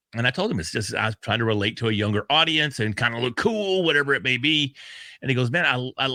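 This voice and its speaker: A loud man at a medium pitch with a bright, sharp tone, lively intonation and a fairly quick pace, in a very clean, dry, close recording with no echo and a silent background. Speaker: podcast host. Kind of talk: casual chat.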